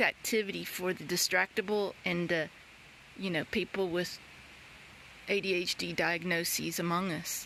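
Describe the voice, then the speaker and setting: Moderate pace in a Northwest Georgia accent. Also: woman. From Northwest Georgia, US South. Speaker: nature journaling vlogger. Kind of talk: casual tutorial.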